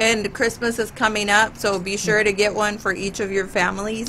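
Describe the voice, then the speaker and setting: A woman with an American accent talks while background noise is clearly heard. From US Midwest, Michigan. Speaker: talk show host and realtor. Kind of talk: casual interview chat.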